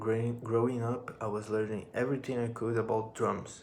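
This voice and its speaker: A man at medium pitch with a Brazilian accent and monotone, flat intonation, with audible room echo and noticeable background noise. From northern Brazil, Amapá. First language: Portuguese. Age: 20s. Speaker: musician and drum teacher. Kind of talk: personal vlog monologue. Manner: halting, with repetitions.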